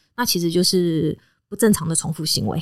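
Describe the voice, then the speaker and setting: A normal speaking voice at a fairly quick pace, with a dry, close sound and no echo. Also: woman. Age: 30s. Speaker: veterinarian and animal trainer. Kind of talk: casual chat.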